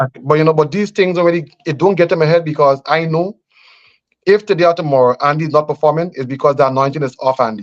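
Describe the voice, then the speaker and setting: Speaking at a very fast pace with a Grenadian accent, the voice shows ordinary pitch variation. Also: man, fairly high pitch for a man. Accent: Grenadian Caribbean English. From Grenada. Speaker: politician. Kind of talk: radio interview. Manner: halting.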